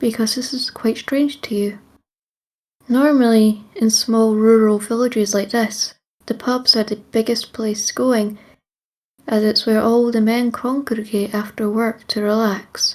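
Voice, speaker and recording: In a Scottish accent, the words come at a fairly slow pace. The intonation stays monotone and flat. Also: woman. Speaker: storyteller. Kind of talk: second-person creepy story narration.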